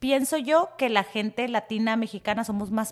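A woman speaks fairly slowly at a fairly high pitch. She has an ordinary speaking voice with ordinary pitch variation. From Tijuana, Mexico. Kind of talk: casual chat.

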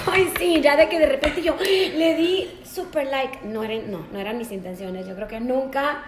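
Audible room echo and noticeable background noise surround a woman whose pitch swings very widely. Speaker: podcast host. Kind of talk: casual chat.

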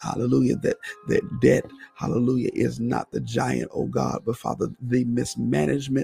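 Music plays behind a man. He talks at a moderate pace. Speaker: preacher and radio host. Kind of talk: fervent prayer, intercessory. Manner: impassioned, repetitive, urgent; exclaiming, praying aloud.

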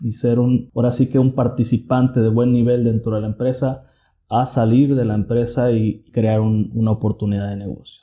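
A man speaks at a medium pitch in a dark, mellow tone, his intonation monotone and flat. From Mexico, southern Jalisco (Tuxpan). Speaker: mechanical engineer and business owner. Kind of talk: interview.

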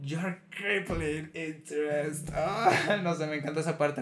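A man's fairly high-pitched voice with a Mexican accent and fairly even intonation, over noticeable background noise. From Mexico. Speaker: podcast host. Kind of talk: casual chat.

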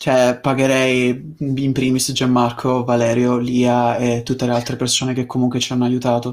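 A man talks at a moderate pace in a medium pitch. His intonation is monotone and flat, his loudness very even. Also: hardly any pauses. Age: 20s. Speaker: voice actor / YouTuber. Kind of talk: casual interview chat.

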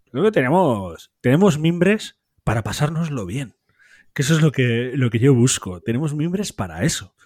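In a very clean recording with a silent background, a man talks at a fairly quick pace, his fairly high pitch swinging very widely. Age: 30s. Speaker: football podcast host. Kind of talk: casual football discussion.

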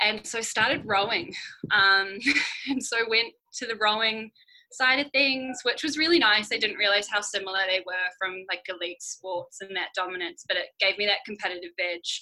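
A woman with a New Zealand accent speaks at a moderate pace in a fairly high pitch, her bright, sharp tone showing ordinary pitch variation. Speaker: amateur cyclist and project manager. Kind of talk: podcast interview.

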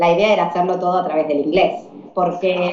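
A woman with an Argentine accent, fairly quick, amid noticeable background noise and audible room echo. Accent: Argentine Spanish (Rioplatense, voseo). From Argentina. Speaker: English teacher and volunteer traveller. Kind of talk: interview.

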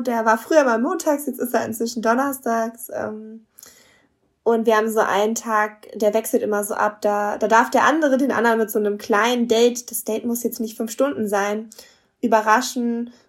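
A woman's unremarkable speaking voice, fairly high in pitch, at a moderate pace with fairly even intonation. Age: 20s. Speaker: marriage and family counsellor, couples coach. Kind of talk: interview.

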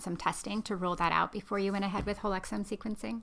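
At a very fast pace, a woman speaks at a medium pitch. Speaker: podcast host, genetic counselor. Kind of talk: interview.

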